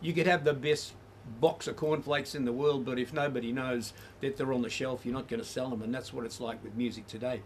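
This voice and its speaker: In an Australian accent, a man talks at a very fast pace with medium pitch and fairly even intonation. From Australia, Melbourne. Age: 70s. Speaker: musician and community radio presenter. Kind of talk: interview. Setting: at home.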